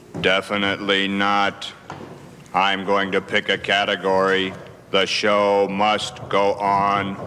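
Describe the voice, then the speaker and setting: A man's cartoonish character voice, fairly low in pitch, monotone and flat, at a fairly slow pace over clear background noise. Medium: puppet show. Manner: cheeky, wisecracking.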